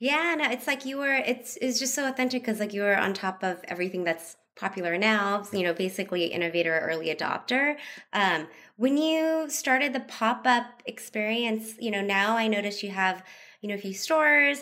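Over a very clean, silent background, a woman speaks at a moderate pace in a fairly high pitch, with lively intonation and a bright, sharp tone. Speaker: podcast co-host. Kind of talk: casual interview. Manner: casual, giggly.

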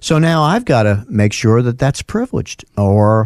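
With a New York accent, a man speaks at a moderate pace in a dark, mellow tone. The sound is dry and close, with no echo. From US Northeast, North Bronx, New York. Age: 60s. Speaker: lawyer. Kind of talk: casual chat.

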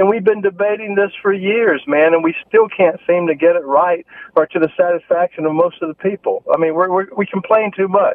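Speaking with an American accent, a man keeps a moderate pace with hardly any pauses, using a high pitch and fairly even intonation. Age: 60s. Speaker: radio caller. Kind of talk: call-in debate. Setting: phone call. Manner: halting, repeats words.

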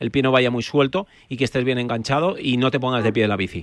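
His delivery is very fast. The man's voice has a medium pitch and ordinary pitch variation. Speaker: osteopath. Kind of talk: expert advice on radio.

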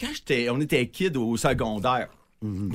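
A man talks at a moderate pace. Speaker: toy drive organizer. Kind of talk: casual chat. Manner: animated.

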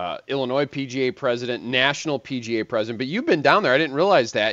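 Quick and lively in intonation, an ordinary speaking voice carries an American accent at a fairly quick pace. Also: man. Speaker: sports radio host. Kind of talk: radio show.

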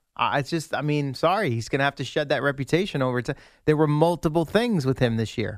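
Speaking at a very fast pace with lively intonation, a man with a fairly high pitch comes through on a very clean recording with a silent background. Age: 30s. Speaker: sports radio co-host. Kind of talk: casual chat.

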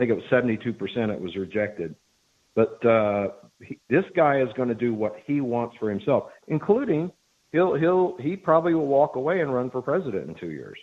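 In an American accent, a man delivers his words at a fairly quick pace, with a medium pitch and very wide pitch swings. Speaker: caller. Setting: phone call.

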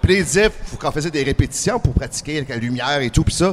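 Talking very fast with lively intonation, a man with a fairly high pitch is heard against noticeable background noise. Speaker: professional wrestler and actor. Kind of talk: interview.

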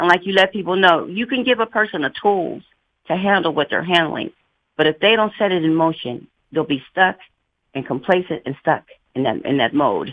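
Talking at a moderate pace, a woman with a normal speaking voice has a fairly low pitch and lively intonation. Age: 60s. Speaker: caller. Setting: phone call.

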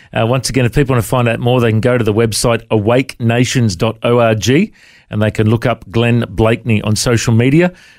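In an ordinary speaking voice, a man of medium pitch talks fairly quickly with very even loudness and fairly even intonation on a very clean recording with a silent background. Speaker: radio podcast host. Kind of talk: casual interview.

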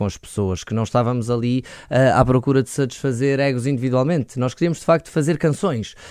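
This man has a fairly high pitch, ordinary pitch variation and an ordinary speaking voice, recorded very cleanly against a silent background. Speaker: rock band vocalist. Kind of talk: interview.

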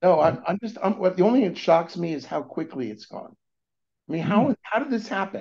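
A high-pitched man with an American accent, very wide pitch swings and a fairly quick pace. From California, US. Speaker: venture capitalist. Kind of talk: interview. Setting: remote call.

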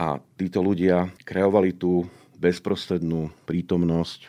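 A man's very deep, low voice with a dark, mellow tone. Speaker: conductor and composer. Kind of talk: interview. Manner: patient explaining.

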